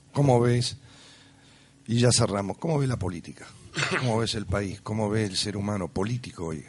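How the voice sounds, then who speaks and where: Somewhat breathy and fairly low in pitch, a man talks at a moderate pace. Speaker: radio host. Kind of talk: radio interview.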